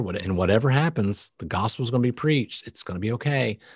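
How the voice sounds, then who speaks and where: A man at a moderate pace, his intonation lively and his voice somewhat breathy, in a dry, close sound with no echo and a quiet background. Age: 40s. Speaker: Bible podcast host. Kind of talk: casual Bible discussion. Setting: video call.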